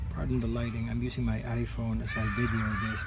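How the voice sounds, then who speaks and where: A man talks at a fairly quick pace in a very deep, low voice, with noticeable background noise behind him. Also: dry sound with no echo. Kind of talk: casual garden tour narration. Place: garden. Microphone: phone near.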